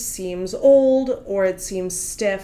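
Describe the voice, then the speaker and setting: Over noticeable background noise, the speaker talks with a Russian accent and ordinary pitch variation. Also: woman. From Russia, Moscow. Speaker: literary agent. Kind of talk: interview.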